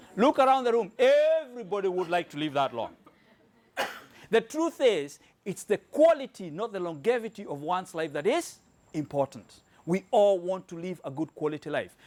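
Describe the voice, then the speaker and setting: Speaking at a moderate pace with a Kenyan accent, a man with a high pitch for a man uses an animated tone and very wide pitch swings. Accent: Kenyan accent, noticeable. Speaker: health product presenter. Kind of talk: sales presentation to live audience. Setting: room with live audience.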